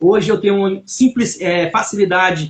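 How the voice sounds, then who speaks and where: Talking at a fairly slow pace, a man uses a high pitch with ordinary variation. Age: 40s. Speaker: church member giving testimony. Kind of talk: testimony. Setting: live stream. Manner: halting.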